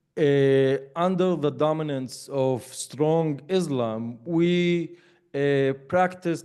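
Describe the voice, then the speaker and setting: A man speaks at a very slow pace with an Arabic accent. His intonation stays fairly even. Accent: Arabic-accented English, mistaken for British. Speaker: educator and lecturer. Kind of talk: interview conversation. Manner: hesitant, many fillers.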